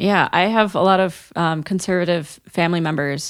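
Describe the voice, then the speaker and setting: The recording is very clean, with a silent background. A woman with an American accent talks at a fairly slow pace with ordinary pitch variation. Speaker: elementary music teacher. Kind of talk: casual chat.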